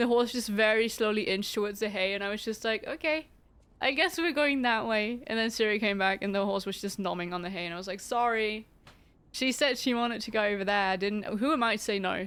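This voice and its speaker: Speaking at a fairly quick pace with a non-native accent, a woman uses a fairly high pitch and ordinary pitch variation in a very clean recording with a silent background. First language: not English. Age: 20s. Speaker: streamer. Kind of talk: casual chat. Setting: live stream.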